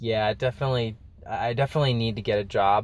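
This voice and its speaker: The intonation stays fairly even. A man delivers it at a fairly quick pace. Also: dry sound with no echo. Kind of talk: casual vlog chat. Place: car. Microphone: phone near.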